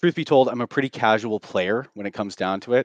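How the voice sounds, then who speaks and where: The sound is dry and close with no echo, over a quiet background. Pitch variation is ordinary. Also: man. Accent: Western Canadian. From Canada. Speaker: game community moderator. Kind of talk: casual chat.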